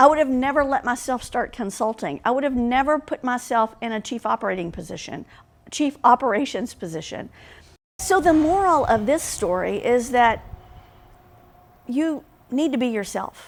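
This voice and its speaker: A woman's high-pitched voice with lively intonation at a moderate pace, on a very clean recording with a silent background. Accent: Southern US. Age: middle-aged. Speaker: business leader and consultant. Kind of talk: vlog monologue. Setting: home recording. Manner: casual.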